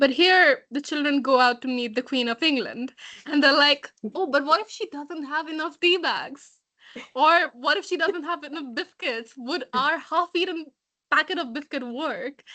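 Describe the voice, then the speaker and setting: Her voice raised and projected, a woman speaks at a moderate pace in a high, bright, sharp tone with ordinary pitch variation. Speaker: book discussion participant. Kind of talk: book discussion.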